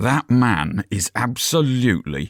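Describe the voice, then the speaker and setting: A man puts on a gruff, growling character voice at a medium pitch, his pitch swinging very widely. He speaks fairly slowly, and the sound is dry and close with no echo. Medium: read story.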